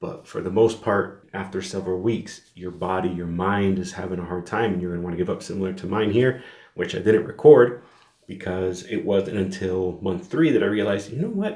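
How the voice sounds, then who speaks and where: A man's fairly low voice with a dark, mellow tone, fairly even intonation and a fairly quick pace. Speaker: fitness vlogger. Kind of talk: casual vlog monologue. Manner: monotone; rambling, filler-heavy.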